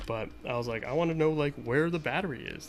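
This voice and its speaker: A man with an American accent at a fairly quick pace, ordinary pitch variation, and noticeable background noise. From US, Boston area. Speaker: retro console modder, streamer. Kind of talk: casual live-stream chat while tinkering. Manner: casual, filler-heavy, repetitive.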